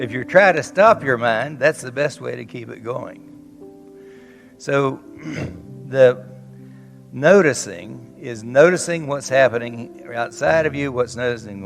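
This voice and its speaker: With music in the background, a man with a Southern US accent speaks at a medium pitch, his intonation lively and his loudness swinging widely. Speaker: psychotherapist. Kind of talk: conference talk. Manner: blunt, witty.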